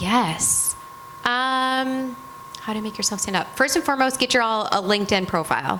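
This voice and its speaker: Loud and energetic, a woman with a Michigan accent talks at a moderate pace in a high pitch with ordinary pitch variation, over noticeable background noise. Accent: Michigan accent, nasal. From Michigan, US Midwest. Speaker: retail merchandising executive. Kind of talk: panel talk with students.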